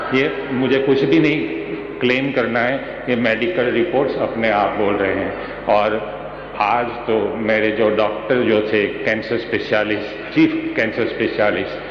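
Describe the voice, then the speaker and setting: Ordinary pitch variation in a man's speech, amid noticeable background noise and audible room echo. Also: medium pitch for a man, very even loudness. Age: 60s. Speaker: cancer survivor giving testimony. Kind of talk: testimony.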